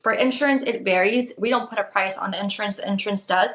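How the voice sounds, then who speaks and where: A woman in a Spanish accent talks at a medium pitch with ordinary pitch variation. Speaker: medical tattoo artist. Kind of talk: podcast interview.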